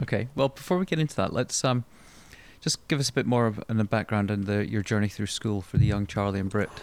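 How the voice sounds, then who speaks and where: A man with a Scottish accent, fairly low in pitch, with ordinary pitch variation and a very fast pace. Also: very clean recording, silent background. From Scotland. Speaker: podcast host. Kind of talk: interview.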